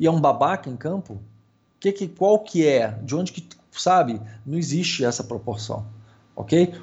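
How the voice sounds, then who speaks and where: Intonation stays lively in this somewhat breathy voice. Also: man. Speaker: podcast co-host, airsoft player. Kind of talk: casual chat.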